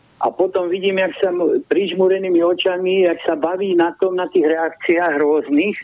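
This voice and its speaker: With hardly any pauses, a man talks at a high pitch and fairly even intonation. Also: moderate pace. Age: 70s. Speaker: handball coach. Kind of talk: casual chat. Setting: phone call.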